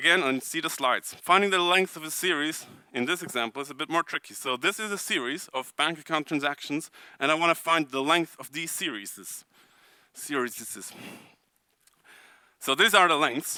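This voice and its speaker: Recorded very cleanly against a silent background, a man speaks in a bright, sharp tone with ordinary pitch variation and a dry, close sound with no echo. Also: fairly high pitch for a man. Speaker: conference speaker. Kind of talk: technical conference talk. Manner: fast.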